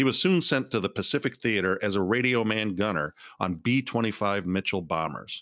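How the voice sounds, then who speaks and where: A man with an unremarkable speaking voice, pitched fairly low, talks fairly quickly with ordinary pitch variation and very even loudness on a very clean recording with a silent background. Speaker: podcast host. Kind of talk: history documentary narration, scripted and read aloud. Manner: formal, measured, solemn and even-paced.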